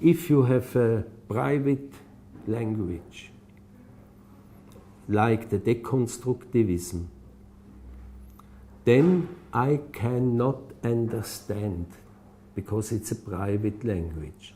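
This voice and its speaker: A man with a non-native accent, medium in pitch, somewhat breathy and dark and mellow in tone, with lively intonation, a very slow pace and long, frequent pauses. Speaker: architect. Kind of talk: interview answer. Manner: halting.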